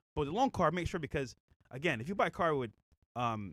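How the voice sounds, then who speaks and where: This man speaks in an animated tone. His pitch swings very widely. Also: dry, close sound with no echo. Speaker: podcast co-host. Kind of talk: casual chat.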